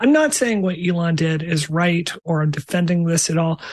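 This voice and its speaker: Amid noticeable background noise, a woman talks fairly quickly in a fairly low pitch with fairly even intonation. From Mississippi. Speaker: game developer. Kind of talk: casual chat.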